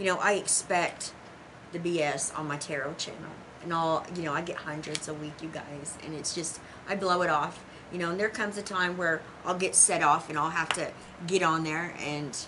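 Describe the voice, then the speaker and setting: Through noticeable background noise and audible room echo, a woman with a Southern US accent speaks at a moderate pace in a fairly low pitch. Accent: country, rural Southern US. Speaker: tarot teacher. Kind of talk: casual monologue to viewers. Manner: animated, with hand talking; occasional stutter.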